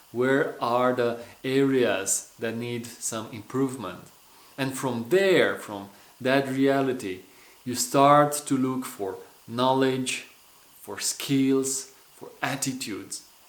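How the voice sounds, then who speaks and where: Speaking very slowly in a Romanian accent, a man keeps his intonation fairly even while his loudness swings widely. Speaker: personal development coach. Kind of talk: motivational vlog talk.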